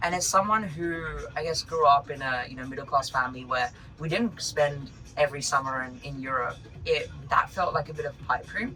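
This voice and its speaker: A man speaks with a fairly high pitch. Noticeable noise sounds behind him. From Australia. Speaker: startup founder. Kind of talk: podcast interview.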